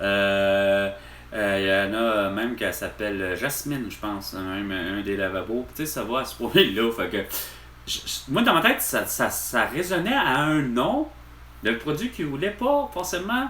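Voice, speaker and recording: Noticeable background noise and audible room echo surround a man talking fairly slowly. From Quebec, Repentigny. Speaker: vlogger, store employee. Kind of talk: casual vlog monologue. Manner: halting, many fillers.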